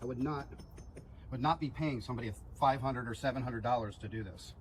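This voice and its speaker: Vocal fry marks a man's medium-pitched voice as he talks at a fairly quick pace. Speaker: home gardening video maker. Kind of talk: casual tutorial. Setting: outdoors. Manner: soft-spoken.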